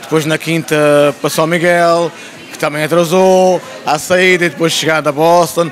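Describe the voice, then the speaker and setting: A man with an Azorean accent speaks at a high pitch and a moderate pace, his intonation monotone and flat. His loudness stays very even over light background noise. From Azores (Terceira); Azores. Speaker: folk march choreographer; interview guest. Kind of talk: interview. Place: shop. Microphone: handheld.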